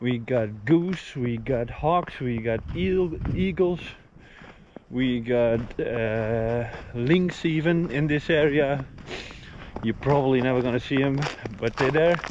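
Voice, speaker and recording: A man's medium-pitched voice with ordinary pitch variation, a very slow pace and long, frequent pauses, against noticeable background noise. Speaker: homesteader. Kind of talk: casual vlog narration. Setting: outdoors. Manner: loud.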